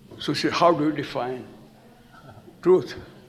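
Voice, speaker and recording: There is audible room echo and noticeable background noise while a man talks fairly slowly, his pitch varying in an ordinary way. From India. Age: 80s+. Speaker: storyteller. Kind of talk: lecture.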